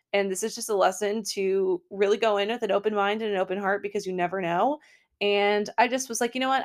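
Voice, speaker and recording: On a very clean recording with a silent background, a woman at medium pitch talks at a very fast pace in an animated tone. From Portland, Maine. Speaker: lifestyle podcaster. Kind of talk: solo podcast monologue.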